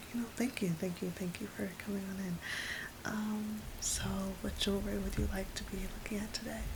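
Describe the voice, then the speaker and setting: Soft-spoken and at a fairly quick pace, the voice comes through over noticeable background noise. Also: woman. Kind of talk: asmr roleplay, personal attention shop scene. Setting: rain sounds in background.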